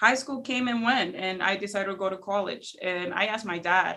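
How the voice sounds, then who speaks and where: At a moderate pace, a woman with medium pitch and a bright, sharp tone speaks with vocal fry and ordinary pitch variation. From Spanish-speaking country, moved to US as teenager. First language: Spanish. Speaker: small business owner. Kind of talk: podcast interview, personal story. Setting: studio.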